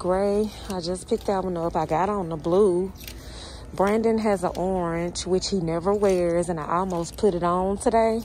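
Amid light background noise, a woman speaks at a moderate pace with fairly even intonation in a dry sound with no echo. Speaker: vlogger shopping. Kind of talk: casual vlog chat. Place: shop. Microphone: phone near.

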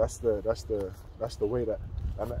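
Noticeable background noise accompanies a man's dry sound with no echo. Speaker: religious group member reading scripture. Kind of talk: casual bible study discussion. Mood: earnest, reflective. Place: open country. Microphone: phone near.

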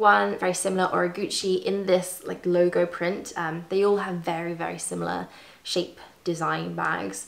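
The speaker is a woman. She has a British accent. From UK. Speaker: fashion YouTuber. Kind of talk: casual chat. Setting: at home. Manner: soft-spoken; rambling. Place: home room.

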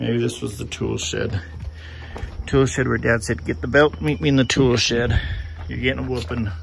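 Music plays in the background as the speaker talks at a moderate pace with lively intonation. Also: man. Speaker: tourist vlogger. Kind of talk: casual vlog chat. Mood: curious, lightly humorous. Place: open country. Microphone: phone near.

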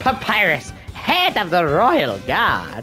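A put-on character voice at a very slow pace with clear music in the background. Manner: bad imitation.

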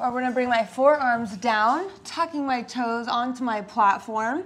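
Her voice is high for a woman, with fairly even intonation. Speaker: pilates instructor. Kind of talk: workout instruction. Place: home room.

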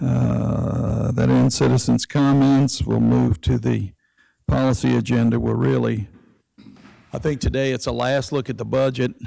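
Against a quiet background, a man with a very deep, low voice speaks fairly slowly, his pitch swinging very widely. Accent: Southern US. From US South, Mississippi Gulf Coast. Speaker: city council president. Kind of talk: chairing council meeting. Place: meeting room.

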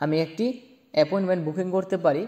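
A dark, mellow tone comes with intonation that stays fairly even. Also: man. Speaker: language teacher. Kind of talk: lecture.

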